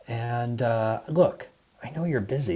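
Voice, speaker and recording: With an American accent, a man speaks at a moderate pace in a fairly low pitch. His voice is somewhat breathy, with a dark, mellow tone and ordinary pitch variation. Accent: American, plain. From US Midwest, Michigan. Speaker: design leader, conference speaker. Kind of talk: conference talk.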